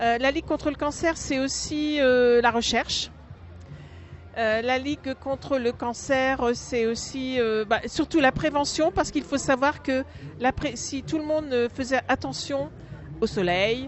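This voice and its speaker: With music in the background, a woman speaks at a fairly slow pace in a high pitch, with ordinary pitch variation. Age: 60s. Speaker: charity volunteer, cancer survivor. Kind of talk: interview testimony. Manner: hesitant, many fillers.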